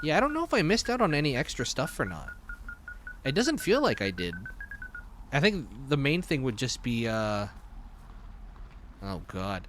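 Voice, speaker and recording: Over music in the background, a man speaks at a moderate pace with long, frequent pauses. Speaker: streamer. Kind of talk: let's play commentary.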